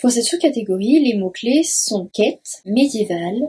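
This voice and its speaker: A woman's high-pitched voice, dark and mellow in tone, with very wide pitch swings at a moderate pace. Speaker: book YouTuber. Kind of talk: casual talk to camera.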